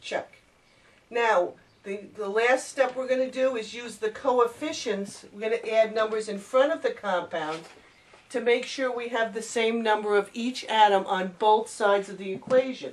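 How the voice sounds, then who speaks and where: Over noticeable background noise, a woman with a fairly high pitch talks at a moderate pace, her pitch varying in an ordinary way while her loudness swings widely. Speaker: chemistry teacher. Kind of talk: tutorial.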